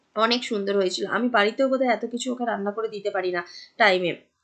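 Her intonation stays fairly even. The woman is soft-spoken. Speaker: vlogger. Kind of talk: vlog narration. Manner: casual, chatty.

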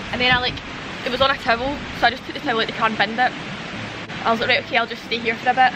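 Noticeable noise fills the background. The speaker is a woman. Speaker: vlogger camping with her dog. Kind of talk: casual vlog chat. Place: open country.

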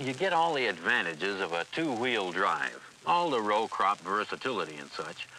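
A man speaks at a moderate pace with very wide pitch swings. The sound is dry with no echo, and light background noise can be heard. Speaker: equipment salesman in promo film. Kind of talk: scripted sales dialogue. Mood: enthusiastic, folksy. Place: farm machine.

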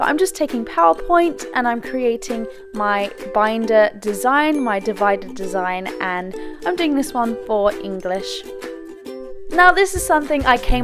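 Over music in the background, a woman speaks in an upbeat tone. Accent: English. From Britain. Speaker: beauty and lifestyle YouTuber. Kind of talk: DIY tutorial voiceover.

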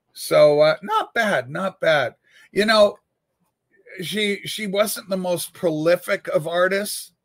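A man talks at a very slow pace in a high voice with ordinary pitch variation. The background is quiet. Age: 60s. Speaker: livestream host and record collector. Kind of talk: casual livestream chat. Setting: home studio livestream with webcam and USB microphone. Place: home room. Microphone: webcam.

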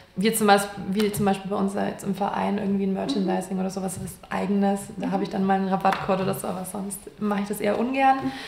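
A woman talks with hardly any pauses and fairly even intonation, over light background noise with audible room echo. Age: 20s. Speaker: influencer and model; influencer. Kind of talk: interview. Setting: university department. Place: office.

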